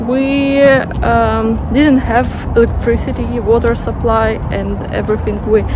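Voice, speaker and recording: A woman speaks at a fairly slow pace, the sound dry with no echo and noticeable background noise behind her. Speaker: vlogger. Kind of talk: casual vlog chat. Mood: thoughtful, slightly wry. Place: street. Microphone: phone near.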